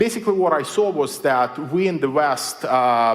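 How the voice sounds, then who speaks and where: Behind this man's voice there is noticeable background noise. His pitch is fairly high, his pace moderate and his intonation lively. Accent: Belarusian. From Belarus. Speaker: writer and technology critic. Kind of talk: public lecture. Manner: many filler words (uh, um).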